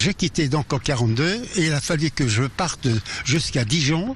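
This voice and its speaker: Noticeable background noise runs under the speech. The delivery is fairly slow, with lively intonation. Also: man. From Alsace. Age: 80s+. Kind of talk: interview answer.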